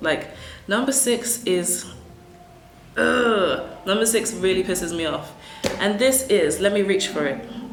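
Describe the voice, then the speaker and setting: The voice has lively intonation at a fairly slow pace, broken by long, frequent pauses. Noticeable background noise runs underneath. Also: woman. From Africa. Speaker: English teacher. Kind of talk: casual talk to camera.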